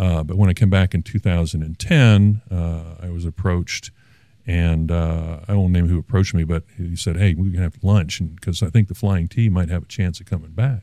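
A man's very deep, low voice, dark and mellow, at a moderate pace with fairly even intonation, dry and close with no echo, on a very clean recording with a silent background. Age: 60s. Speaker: artist. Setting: studio.

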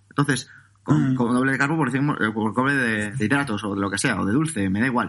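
A man at a medium pitch with ordinary pitch variation and a fairly quick pace. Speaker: personal trainer and podcaster. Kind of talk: interview. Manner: calm.

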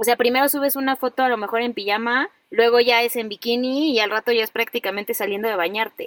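A woman with a Mexican accent talks very fast at a fairly high pitch with hardly any pauses, in a dry, close sound with no echo. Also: ordinary pitch variation. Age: 30s. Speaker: podcast host, psychologist. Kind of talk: casual chat.

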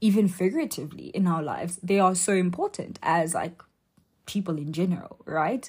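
In a very clean recording with a silent background, a woman speaks somewhat breathily with ordinary pitch variation. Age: young (about 19). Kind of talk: faith talk monologue. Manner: casual, filler-heavy speech.

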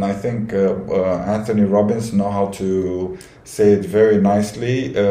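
Amid noticeable background noise and audible room echo, a man with a Romanian accent talks at a fairly low pitch and a fairly slow pace. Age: 30s. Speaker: cabin crew. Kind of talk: casual chat. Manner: halting.

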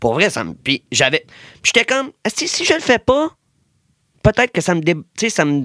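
A man speaks in a raised, projected voice, high in pitch, with a bright, sharp tone. His pitch swings very widely, and he leaves long, frequent pauses. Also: moderate pace, dry, close sound with no echo. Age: 20s. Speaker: DJ. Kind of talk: casual chat. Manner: animated.

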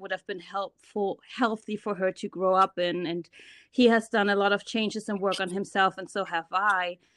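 In a German accent, the speaker goes at a fairly quick pace with fairly even intonation, the sound dry and close with no echo over a quiet background. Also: woman. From Germany. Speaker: podcaster working in finance. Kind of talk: casual interview chat.

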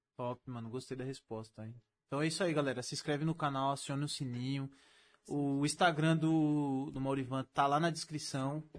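Against a quiet background, a man with a São Paulo accent talks at a moderate pace and fairly high pitch with fairly even intonation. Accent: paulista Brazilian Portuguese. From Brazil, São Paulo state (Mauá). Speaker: podcast host. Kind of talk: casual chat; sales pitch.

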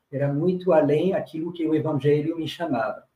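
A man speaks with a dark, mellow tone at a fairly high pitch. His intonation stays fairly even. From France, rural. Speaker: religious brother, community worker. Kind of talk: panel discussion testimony.

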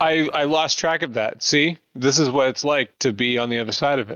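Hardly pausing at all, a man speaks at a moderate pace. His pitch is fairly high with ordinary variation. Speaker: pastor and podcast host. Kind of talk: casual interview chat. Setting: virtual recording, online call. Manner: animated, tends to talk loudly.

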